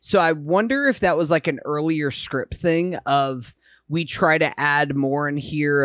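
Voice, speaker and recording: A man's normal speaking voice, fairly high in pitch, with fairly even intonation at a fairly slow pace, on a very clean recording with a silent background. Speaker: podcast host. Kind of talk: casual chat.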